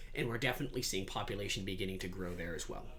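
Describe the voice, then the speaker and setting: Very fast speech in an American accent, with fairly even intonation and audible room echo. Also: man. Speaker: debate coach or student lecturer. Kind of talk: lecture.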